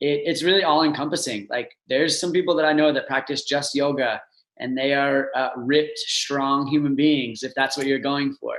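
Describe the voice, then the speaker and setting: This man has a fairly high pitch and fairly even intonation, and he talks at a moderate pace. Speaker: yoga teacher. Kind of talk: casual chat.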